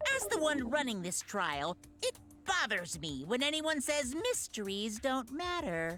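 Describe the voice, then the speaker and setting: A put-on character voice leaps through very wide pitch swings over clear background noise. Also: female-sounding voice, high pitch for a woman, moderate pace. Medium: video game. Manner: playful, mocking.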